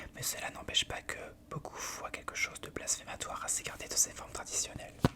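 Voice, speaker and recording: A woman whispering at a fairly quick pace, with big swings in loudness and noticeable background noise. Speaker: ASMR creator reading aloud. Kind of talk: whispered book reading. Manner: whispered, soft.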